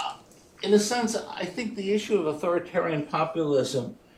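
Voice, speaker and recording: A man's voice against noticeable background noise. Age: 70s. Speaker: audience member asking a question. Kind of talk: audience Q&A comment. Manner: halting, many fillers.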